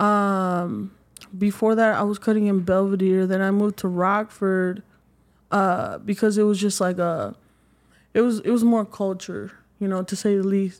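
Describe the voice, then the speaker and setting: Over a very clean recording with a silent background, a woman speaks at a moderate pace. Her intonation is monotone and flat. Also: medium pitch for a woman. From Mexico. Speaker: barber. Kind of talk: interview.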